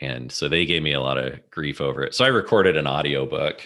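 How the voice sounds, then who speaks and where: The voice has a bright, sharp tone with vocal fry and moves at a moderate pace. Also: man. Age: 40s. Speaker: business consultant and author. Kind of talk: casual interview.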